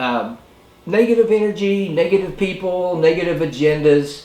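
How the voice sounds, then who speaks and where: Music plays in the background as a man speaks at a fairly slow pace. His pitch is high, with ordinary pitch variation. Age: old. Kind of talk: casual talk to camera. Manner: hesitant, rambling.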